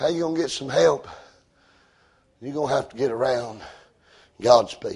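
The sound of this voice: A man speaks at a moderate pace with a slightly mellow tone, a slightly husky edge, and vocal fry. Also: medium pitch for a man, ordinary pitch variation.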